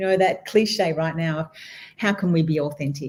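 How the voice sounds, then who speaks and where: A woman with an Australian accent sounds somewhat breathy, with ordinary pitch variation. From Western Australia, rural wheat belt. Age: 60s. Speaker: guest speaker, entrepreneur. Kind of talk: interview conversation.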